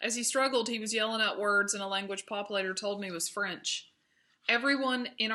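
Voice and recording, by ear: Someone is heard reading aloud in a natural voice.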